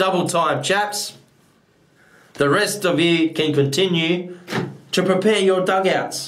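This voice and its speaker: A man's high voice at a very slow pace, with fairly even intonation, very even loudness, and audible room echo. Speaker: actor at an audition. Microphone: webcam.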